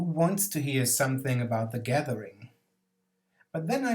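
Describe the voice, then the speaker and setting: A man's voice sounds somewhat breathy and fairly high. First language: German. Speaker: board game video essayist. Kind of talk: scripted narration.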